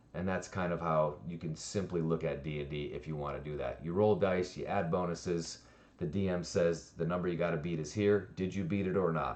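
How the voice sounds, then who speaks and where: With audible room echo, a man speaks at a fairly quick pace in a very deep, low voice, his intonation fairly even and his delivery with hardly any pauses. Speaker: D&D streamer and dungeon master. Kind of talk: tutorial. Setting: livestream. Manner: fast; casual.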